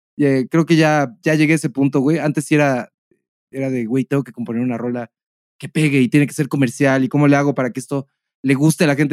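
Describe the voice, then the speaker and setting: A man talks very fast. The sound is dry and close, with no echo. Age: 30s. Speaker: podcast co-host. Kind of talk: casual chat.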